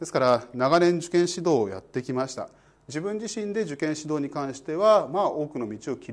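At a fairly quick pace, a man talks with lively intonation. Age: 40s. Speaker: law exam prep lecturer; exam prep instructor. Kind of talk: self-introduction talk to exam students; lecture. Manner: casual filler-heavy delivery. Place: studio. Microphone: lapel.

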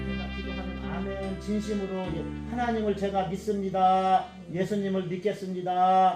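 A man talks fairly slowly. Behind him there is music in the background. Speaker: pastor. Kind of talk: prayer.

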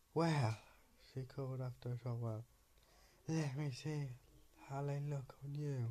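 Pitched fairly high for a man, his somewhat breathy voice has a dark, mellow tone and monotone, flat intonation, with long, frequent pauses. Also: fairly slow pace. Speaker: video creator reading bedtime stories. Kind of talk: bedtime story reading aloud, slightly hesitant. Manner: hesitant, filler-heavy, stumbling over words. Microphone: phone near.

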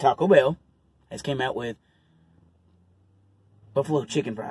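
In a put-on character voice, a man sounds raspy at a medium pitch, talking at a moderate pace with a dry, close sound and no echo. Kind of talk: casual vlog chat. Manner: racing, hurried.

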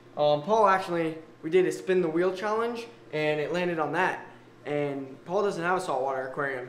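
A man's high voice at a fairly quick pace, ordinary pitch variation, audible room echo and light background noise. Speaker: aquarium vlogger. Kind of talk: casual vlog chat. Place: home room. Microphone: phone near.

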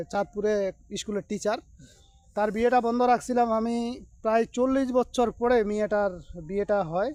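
This man speaks in a high pitch with fairly even intonation. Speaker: spiritual healer / occult practitioner. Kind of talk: vlog-style demonstration. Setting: outdoors at a cremation ground.

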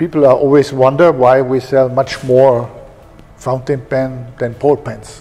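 A man speaks in a flat monotone. His pace is fairly slow. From Germany. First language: German. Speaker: pen company executive. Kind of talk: interview. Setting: company office and shop. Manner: halting. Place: office. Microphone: lapel.

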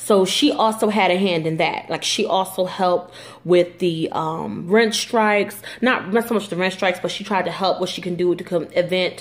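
The delivery is at a moderate pace with ordinary pitch variation and few pauses. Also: woman, fairly low pitch for a woman.

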